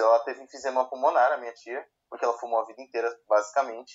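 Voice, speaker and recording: A man talking at a fairly quick pace. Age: 20s. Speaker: podcast co-host. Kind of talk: casual chat.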